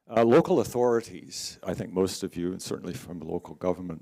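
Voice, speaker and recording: A man with an American accent speaks at a moderate pace in a very deep, low pitch with ordinary pitch variation. His tone is dark and mellow on a very clean recording with a silent background. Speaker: researcher presenting at symposium. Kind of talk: conference presentation.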